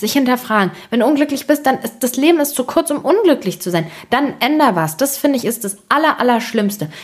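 Over noticeable background noise, a woman talks with a high pitch, very wide pitch swings and an animated tone, at a fairly quick pace with hardly any pauses. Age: 20s. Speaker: podcast host. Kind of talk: casual monologue.

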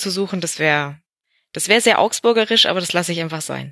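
Speaking at a fairly quick pace, a woman shows ordinary pitch variation. The sound is dry and close, with no echo. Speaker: football podcaster, Augsburg fan. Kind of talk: casual chat. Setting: at home with baby on chest.

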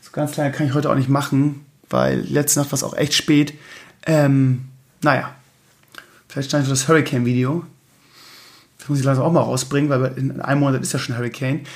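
A man speaks at a fairly quick pace in a fairly high, somewhat breathy voice with flat, monotone intonation, long and frequent pauses, and big swings in loudness. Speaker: podcast host and streamer. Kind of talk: casual solo talk. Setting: home recording at night.

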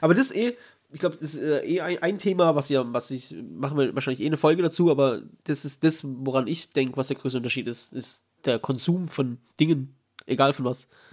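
This is a plain, everyday voice at a fairly quick pace with ordinary pitch variation. The recording is very clean with a silent background. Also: man, fairly high pitch for a man. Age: 30s. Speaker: podcast host. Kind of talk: casual chat.

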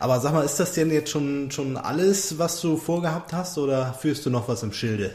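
A man with a plain, everyday voice, fairly high in pitch, at a moderate pace with ordinary pitch variation. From Hamburg. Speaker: podcast co-host. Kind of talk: interview. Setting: staff break room at the school.

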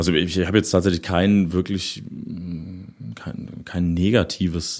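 A man with a very deep, low pitch talks at a fairly slow pace. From Lower Saxony, Germany (near Osterode am Harz). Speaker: rock drummer. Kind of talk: casual interview. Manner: hesitant, many fillers.

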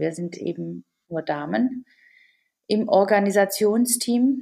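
The woman talks at a very slow pace. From Germany. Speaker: volunteer team leader and shop owner. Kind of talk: interview. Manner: hesitant, many fillers.

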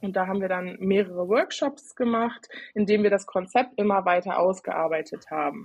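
A woman with a normal speaking voice, medium pitch, ordinary pitch variation and moderate pace. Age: 20s. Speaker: IT consultant. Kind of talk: podcast interview.

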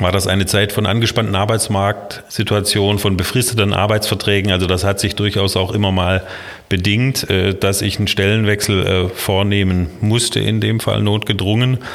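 A man's fairly low, monotone voice with flat intonation, very even loudness and a moderate pace, over noticeable background noise. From Baden-Württemberg, Kinzigtal (Baden). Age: 50s. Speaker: city planning official. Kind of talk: interview.

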